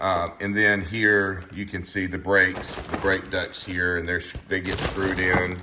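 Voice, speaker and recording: A man with a very deep, low voice speaks slowly and flatly in a monotone, hardly pausing, amid noticeable background noise and audible room echo. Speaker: car YouTuber. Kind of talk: casual tutorial walkthrough. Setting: garage under a car lift. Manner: mumbling, halting with many fillers.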